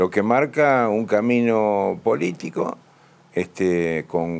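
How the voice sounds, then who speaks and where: With an Argentine accent, a man speaks in a lively intonation. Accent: Argentine Spanish (Rioplatense). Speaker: provincial legislator. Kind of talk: radio interview. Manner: hesitant, many fillers.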